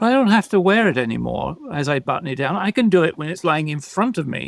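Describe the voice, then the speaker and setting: In a dry, close recording with no echo, a man with vocal fry talks at a fairly quick pace with lively intonation. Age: 70s. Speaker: podcast co-host, coach. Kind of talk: casual chat.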